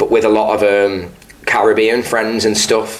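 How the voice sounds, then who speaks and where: There is audible room echo and noticeable background noise. A man with a northern English accent speaks at a fairly low pitch in a monotone, flat way. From northern England, Stoke. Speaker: musician. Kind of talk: interview. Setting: pub.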